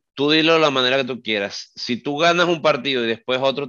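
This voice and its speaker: A man speaks with a normal speaking voice at a medium pitch. His pace is moderate and his pitch varies in an ordinary way. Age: 30s. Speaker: football podcast co-host. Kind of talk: casual chat.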